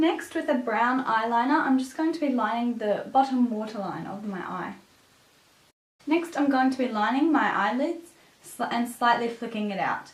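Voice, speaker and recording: In a room with audible echo, a woman with a high-pitched voice speaks at a moderate pace using lively intonation. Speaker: beauty vlogger. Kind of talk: tutorial.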